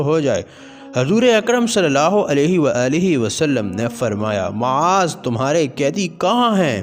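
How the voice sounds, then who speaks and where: A man's fairly high voice moves through very wide pitch swings while its loudness stays very even. Music plays behind him. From Pakistan. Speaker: voice over artist. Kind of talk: religious story narration.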